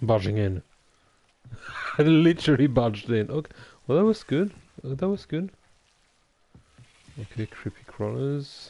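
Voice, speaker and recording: This man has a non-native accent and a medium pitch with a dark, mellow tone. His pitch swings very widely, and he takes long, frequent pauses. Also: moderate pace. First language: not English. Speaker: gaming streamer. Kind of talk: let's play commentary. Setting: livestream. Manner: halting.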